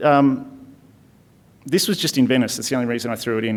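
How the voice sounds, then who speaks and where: A man with an Australian accent talks at a medium pitch with ordinary pitch variation. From Tasmania, Launceston. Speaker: architect. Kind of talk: conference lecture. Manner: fast; casual, hesitant with fillers.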